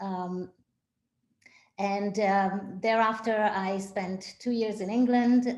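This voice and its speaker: Audible room echo surrounds a woman speaking at a very slow pace. Her pitch is medium. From Israel. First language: Hebrew. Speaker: synagogue executive director. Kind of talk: interview. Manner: hesitant, many fillers.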